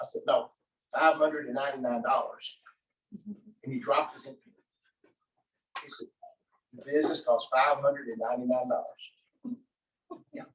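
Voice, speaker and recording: A man speaks at a fairly quick pace, taking long, frequent pauses, with big swings in loudness. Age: 60s. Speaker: network marketing speaker. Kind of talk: motivational talk to live audience. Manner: animated.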